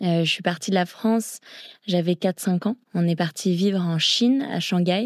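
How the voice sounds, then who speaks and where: A woman speaks at a medium pitch and a moderate pace, with ordinary pitch variation and very even loudness. The recording is very clean with a silent background, dry and close with no echo. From grew up abroad in China and Thailand (international British school). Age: 20s. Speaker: long-distance swimmer. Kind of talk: interview.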